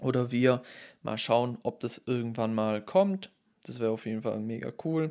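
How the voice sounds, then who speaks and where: Over a silent background in a very clean recording, a man talks at a moderate pace in a medium pitch, his dark, mellow tone carrying ordinary pitch variation. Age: 20s. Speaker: podcaster. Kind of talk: solo monologue. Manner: casual.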